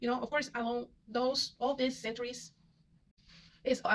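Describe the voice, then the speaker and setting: A woman talks at a moderate pace. She has a Spanish accent. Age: 30s. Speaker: vlogger. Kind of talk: casual monologue. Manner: halting, many fillers and repetitions.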